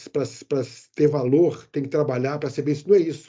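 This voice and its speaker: Speaking at a fairly quick pace, this man has a fairly high pitch. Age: 60s. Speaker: IT manager and expat. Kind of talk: interview. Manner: animated.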